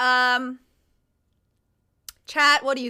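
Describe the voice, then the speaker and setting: A raised, projected voice carries an animated tone that sounds bright and sharp. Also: woman. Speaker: streamer. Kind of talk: casual chat. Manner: loud.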